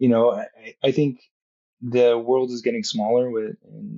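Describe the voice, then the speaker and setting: A man with an American accent. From Southern California. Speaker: surgeon. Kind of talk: interview.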